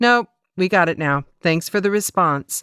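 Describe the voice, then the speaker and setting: It is a put-on character voice at a middle pitch. The pace is moderate. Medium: read story. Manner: laconic, businesslike.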